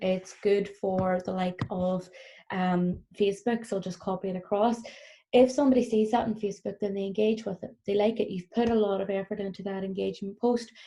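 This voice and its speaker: The voice is somewhat breathy, with a Northern Irish accent and fairly even intonation. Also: woman. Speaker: business trainer. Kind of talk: recorded workshop presentation. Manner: fast; frequent fillers (um).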